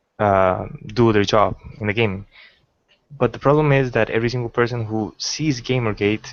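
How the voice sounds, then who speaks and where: Using a non-native accent, a man speaks at a moderate pace and medium pitch with ordinary pitch variation and long, frequent pauses. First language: not English. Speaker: call-in participant. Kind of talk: online debate. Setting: video call livestream. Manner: halting.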